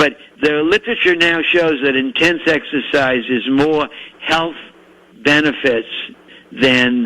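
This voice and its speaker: Over noticeable background noise, a man speaks at a fairly slow pace with a fairly high pitch and ordinary pitch variation. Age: 80s+. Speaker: physician. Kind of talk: interview. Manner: halting.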